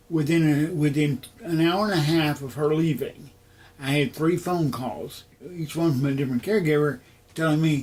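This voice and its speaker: Using an ordinary speaking voice with an American accent, a man talks at a moderate pace and a fairly high pitch with ordinary pitch variation. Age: 60s. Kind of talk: interview testimony. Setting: at home.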